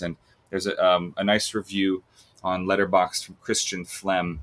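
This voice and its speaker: Fairly low-pitched, this man has a plain, everyday voice and an American accent. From US, Long Island, New York. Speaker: film podcaster. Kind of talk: casual chat.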